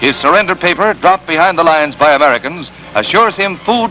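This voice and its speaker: Music plays in the background as a man talks fairly quickly in a high pitch with ordinary pitch variation. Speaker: newsreel narrator. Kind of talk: wartime newsreel narration.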